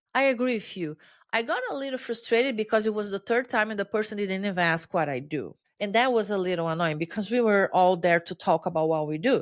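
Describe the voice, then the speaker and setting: At a very fast pace, a woman with a Brazilian Portuguese accent speaks at a medium pitch with lively intonation. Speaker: change-management consultant. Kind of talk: interview conversation. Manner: halting, repeats words.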